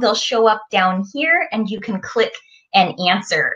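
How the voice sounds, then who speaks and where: A woman talks rather slowly. Nothing can be heard behind her. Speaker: presenter. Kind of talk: lesson for young children. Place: home room. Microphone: webcam.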